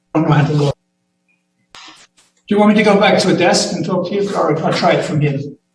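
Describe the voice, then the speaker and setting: Amid audible room echo, a man with a high pitch speaks with ordinary pitch variation and long, frequent pauses. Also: moderate pace. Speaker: acting medical officer of health. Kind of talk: public health briefing to council. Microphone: muffled with echoes.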